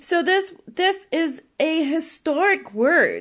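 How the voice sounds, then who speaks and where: This woman talks very slowly, with a lively, bouncing intonation. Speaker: podcast host and sex educator. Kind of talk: solo monologue podcast. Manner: casual, frequent laughter; occasional stutter.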